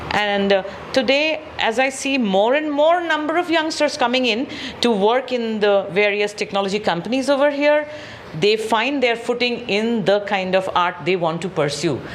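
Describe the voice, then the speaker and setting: A woman's fairly high voice with very wide pitch swings, a moderate pace and very even loudness, over noticeable background noise. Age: 60s. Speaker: theatre group director. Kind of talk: interview.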